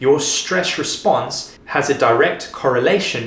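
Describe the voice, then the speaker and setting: Noticeable background noise surrounds the voice of a man. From Africa. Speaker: fitness coach. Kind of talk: tutorial.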